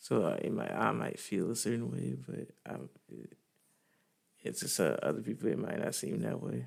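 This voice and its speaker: A man's very deep, low voice with vocal fry and very wide pitch swings, at a moderate pace broken by long, frequent pauses. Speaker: vlogger. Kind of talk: personal testimony. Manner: halting, many fillers.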